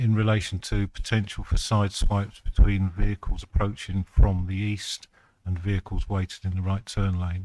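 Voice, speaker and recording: Soft-spoken, a man talks at a moderate pace. His pitch is fairly low. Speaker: highway authority witness. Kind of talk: witness testimony at inquiry. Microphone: too quiet, moved closer to mic.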